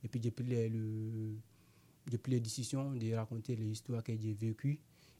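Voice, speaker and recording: A man speaks at medium pitch in a monotone with flat intonation, at a moderate pace. His tone is dark and mellow, and somewhat breathy. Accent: non-native. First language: not French (speaking French). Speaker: amateur actor, migrant. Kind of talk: interview. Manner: halting, broken French.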